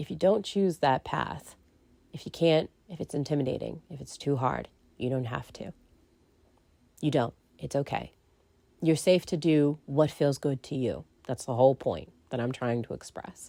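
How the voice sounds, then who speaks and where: A woman with a very deep, low pitch speaks at a moderate pace in a dark, mellow tone with vocal fry. Her pitch varies in an ordinary way, and she takes long, frequent pauses. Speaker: podcaster and narrator. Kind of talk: casual monologue. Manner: rambling with many fillers.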